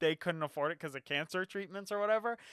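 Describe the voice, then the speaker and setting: On a very clean recording with a silent background, a man with a high, bright, sharp voice projects loudly in an animated tone with lively intonation. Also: dry, close sound with no echo. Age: 20s. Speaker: podcast co-host. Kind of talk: casual chat.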